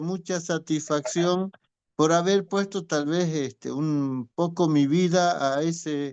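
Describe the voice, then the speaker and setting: A man talks in a high voice whose pitch moves in an ordinary way. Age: 60s. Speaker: teacher. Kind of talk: testimony.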